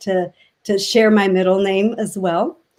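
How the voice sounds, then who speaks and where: A woman with a Spanish accent speaks at a fairly slow pace in a medium pitch with fairly even intonation, on a very clean recording with a silent background. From Mexico City, Mexico. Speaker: education advocate. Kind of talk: interview. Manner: halting.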